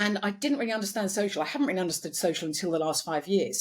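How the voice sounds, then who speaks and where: A somewhat breathy woman's voice at medium pitch. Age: 60s. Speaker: beauty business founder. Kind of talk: interview.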